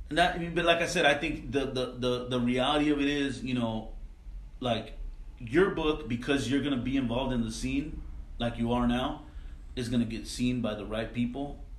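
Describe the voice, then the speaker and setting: A man with an American accent speaks at a moderate pace and medium pitch with ordinary pitch variation, and there is audible room echo. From Salinas, California. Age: 40s. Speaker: car culture magazine founder. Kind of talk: casual chat.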